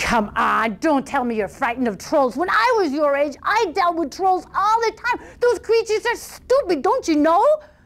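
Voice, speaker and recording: A woman speaks in a put-on character voice at an extremely high pitch. Her pitch swings very widely. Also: moderate pace. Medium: stage play. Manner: blustering, scornful.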